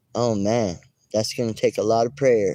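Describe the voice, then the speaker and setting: In an American accent, a man mumbles at a fairly slow pace with a dark, mellow tone. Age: 40s. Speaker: YouTuber. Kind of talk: casual livestream chat. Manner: mumbling.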